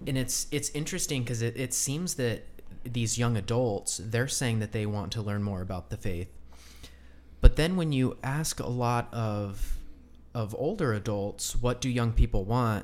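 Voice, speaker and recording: Speaking fairly slowly in an ordinary speaking voice, this man holds a medium pitch that rises and falls in an ordinary way. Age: 20s. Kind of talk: casual chat.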